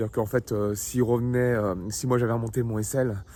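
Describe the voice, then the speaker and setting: This man's voice has a dark, mellow tone at a medium pitch, moving at a fairly quick pace with fairly even intonation. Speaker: trader vlogger. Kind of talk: casual video diary. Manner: soft-spoken; halting, many fillers.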